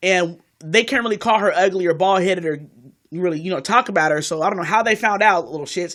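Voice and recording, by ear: A woman speaks at a fairly quick pace. Her pitch is fairly low, and her tone is fairly bright. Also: ordinary pitch variation.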